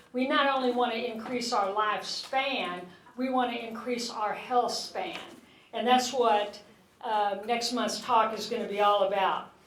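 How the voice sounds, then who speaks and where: With audible room echo and noticeable background noise, a woman speaks fairly slowly at a fairly high pitch. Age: 60s. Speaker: physician giving a health talk. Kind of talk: public health talk. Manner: animated.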